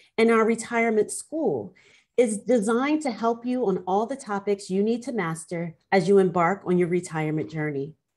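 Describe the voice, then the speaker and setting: The pace is moderate and the intonation lively. The background is quiet. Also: woman. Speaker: law professor. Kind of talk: panel moderation. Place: office. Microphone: video call.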